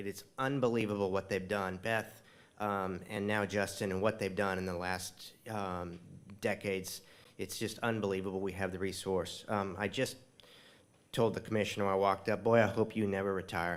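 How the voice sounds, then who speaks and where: Fairly low male speech at a moderate pace, monotone and flat in intonation. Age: 60s. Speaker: tree nonprofit leader. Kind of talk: dedication speech.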